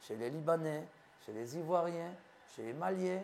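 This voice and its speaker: This man's voice has a fairly high pitch. His intonation is lively. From Ivory Coast. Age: 50s. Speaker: physician. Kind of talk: interview.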